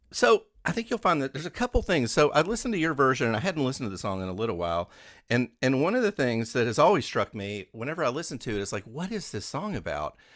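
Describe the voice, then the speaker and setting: A man with a western Kentucky accent speaks very fast with hardly any pauses, at medium pitch with vocal fry and very wide pitch swings, in a very clean, dry, close recording with a silent background and no echo. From western Kentucky (Owensboro). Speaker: radio host. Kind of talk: radio interview.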